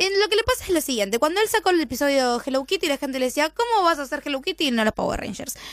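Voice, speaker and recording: A woman speaks very fast with hardly any pauses, her high pitch swinging very widely, in a dry, close sound with no echo but noticeable background noise. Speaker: radio host and interpreter. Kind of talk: live radio interview with interpreting.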